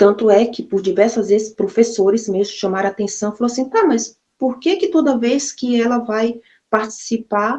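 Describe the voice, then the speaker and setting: A woman speaks with a dark, mellow tone at a fairly high pitch. Her pitch varies in an ordinary way. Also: moderate pace. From Brazil, Maranhão (São Luís). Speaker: vlogger telling her life story. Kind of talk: personal testimony. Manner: casual, conversational.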